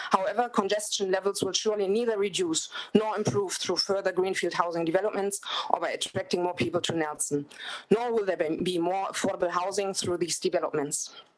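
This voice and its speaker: A woman speaks with a German accent. Her pace is fairly quick. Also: medium pitch for a woman, ordinary pitch variation. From Germany. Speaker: public submitter. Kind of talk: public submission.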